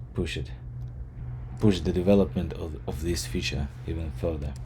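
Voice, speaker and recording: A man with a non-native accent talks at a fairly slow pace in a dark, mellow tone, his lively intonation edged with vocal fry. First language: not English. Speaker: software developer. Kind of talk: tutorial. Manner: halting.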